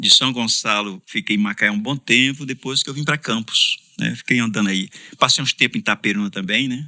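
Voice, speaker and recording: A man with a bright, sharp tone and medium pitch talks at a fairly quick pace with ordinary pitch variation. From Brazil, Ceará (Fortaleza). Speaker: pastor. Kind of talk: casual interview.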